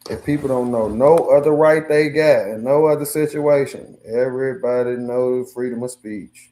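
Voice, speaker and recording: A man with a dark, mellow tone talks at a moderate pace with fairly even intonation. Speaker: livestreamer. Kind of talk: casual livestream chat. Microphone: no mic, hard to hear.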